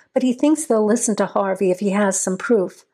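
The speaker uses a natural reading voice. Pitch moves with ordinary variation.

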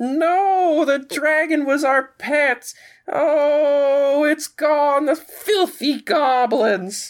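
A put-on character voice speaks at a high pitch and a very slow pace. The recording is very clean, with a silent background. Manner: annoyed.

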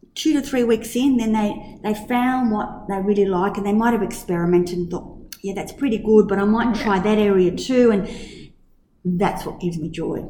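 A woman with a dark, mellow tone talks at a medium pitch and moderate pace. Her pitch varies in an ordinary way, with audible room echo. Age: 50s. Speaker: kindergarten teacher and director. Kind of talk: casual interview.

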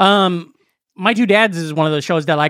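Here is an ordinary speaking voice from a man at a fairly quick pace. His intonation is lively. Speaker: comedian. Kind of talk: casual chat.

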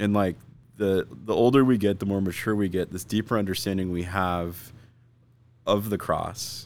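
A man's ordinary speaking voice with an American accent, fairly low pitch, fairly even intonation and a moderate pace. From US Southwest, Arizona (Phoenix/Scottsdale). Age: 40s. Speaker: pastor. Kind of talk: casual chat.

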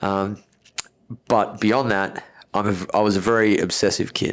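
A man with an Australian accent, fairly low-pitched, at a fairly slow pace with fairly even intonation, on a very clean recording with a silent background. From Australia, Melbourne. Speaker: personal trainer and gym owner. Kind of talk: casual interview.

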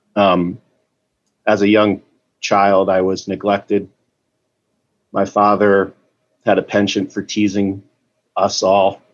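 A man talks at a very slow pace in a monotone, flat intonation, leaving long, frequent pauses. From Boston. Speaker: meeting participant sharing. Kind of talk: recovery meeting share. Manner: emotional, distressed.

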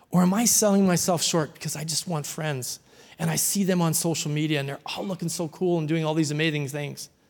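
This man's voice is fairly high in pitch, with fairly even intonation. He talks at a fairly quick pace. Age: 60s. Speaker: pastor. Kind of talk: sermon.

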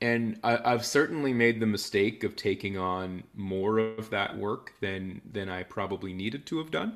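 In a Canadian accent, a man with an ordinary speaking voice talks at a fairly slow pace and a fairly low pitch, with fairly even intonation. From Canada, Ottawa (Nepean). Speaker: behavioral science consultant and entrepreneur. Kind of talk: interview conversation. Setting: remote call from abroad.

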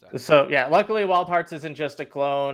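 An unremarkable speaking voice from a man, with ordinary pitch variation and a moderate pace. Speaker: podcast co-host. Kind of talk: casual chat.

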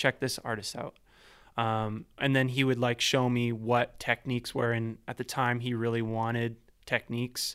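Monotone and flat in intonation, the voice carries a Canadian accent in a very clean recording over a silent background. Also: man, medium pitch for a man, moderate pace. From Vancouver, Canada (East Van). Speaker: composer and sound designer. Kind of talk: casual interview.

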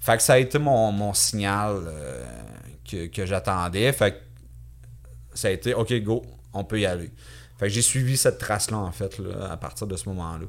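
A man at a moderate pace, with very wide pitch swings, vocal fry, and long, frequent pauses. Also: fairly low pitch for a man. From Quebec, Victoriaville. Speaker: physical education teacher and survivor. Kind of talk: interview testimony. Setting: studio, in person.

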